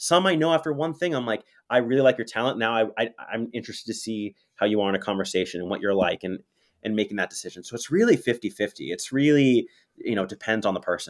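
A man talks at a very fast pace with an energetic tone and lively intonation. His pitch is medium, and the recording is very clean, with a silent background. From US West Coast, Los Angeles. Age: young. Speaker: college theater program director and teacher. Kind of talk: casual interview. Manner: halting with repeated words.

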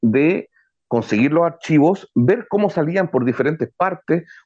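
A man's fairly high pitch with ordinary variation, a plain, everyday voice. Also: quiet background. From Chile. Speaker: journalist and podcast producer. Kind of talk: interview.

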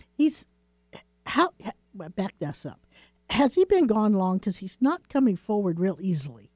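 A woman's somewhat breathy voice moves at a moderate pace through very wide pitch swings and long, frequent pauses. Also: medium pitch for a woman, big swings in loudness. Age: 60s. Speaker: psychic radio co-host. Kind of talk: call-in psychic readings.

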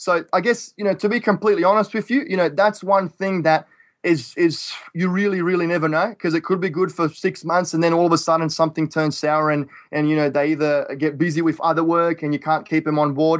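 Against a quiet background, a man with an Australian accent speaks at a high pitch with fairly even intonation. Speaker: real estate investor. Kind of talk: interview.

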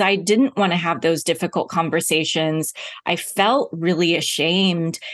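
With an American accent, a woman speaks at a moderate pace in a plain, everyday voice of medium pitch. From US South, Oklahoma. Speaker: TV journalist and speaker. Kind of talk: interview conversation.

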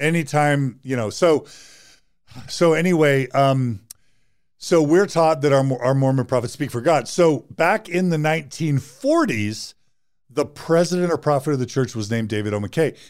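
A man with an American accent talks at a fairly slow pace in a plain, everyday voice, pitched fairly high with lively intonation. The recording is very clean, with a silent background. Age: 50s. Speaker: psychologist and podcast host. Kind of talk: interview conversation.

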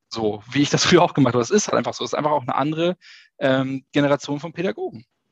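A man talks at a very fast pace with a medium pitch and ordinary pitch variation, recorded with a dry, close sound and no echo. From northern Germany, Schleswig-Holstein. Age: 30s. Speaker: kindergarten teacher. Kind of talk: interview. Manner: talkative, many fillers.

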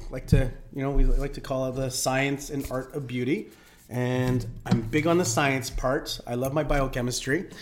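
With a Canadian accent, a man speaks at a moderate pace in an ordinary speaking voice with fairly even intonation. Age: 40s. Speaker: nurse and aesthetics clinic owner. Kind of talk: casual chat.

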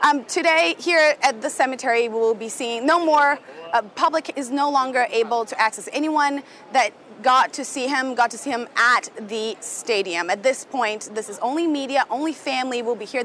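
A woman speaks at a moderate pace in a high voice with ordinary pitch variation, and there is noticeable background noise. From Brazil. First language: Portuguese. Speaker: news correspondent. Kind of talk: live report. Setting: outdoors at cemetery.

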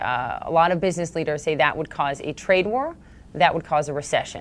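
This woman has a normal speaking voice with a fairly low pitch. Her pitch variation is ordinary. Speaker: interviewer. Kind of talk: formal interview.

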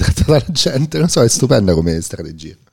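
A man speaks here. His intonation is lively. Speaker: podcast host. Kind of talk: casual interview conversation. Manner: very quiet, low voice.

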